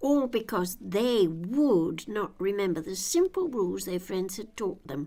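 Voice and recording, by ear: A woman's dark, mellow voice at a medium pitch, fairly slow in pace, with big pitch swings.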